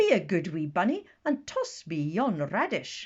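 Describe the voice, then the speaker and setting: A man performs a put-on character voice. It sits high in pitch and moves at a moderate pace. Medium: read story. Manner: hearty, commanding.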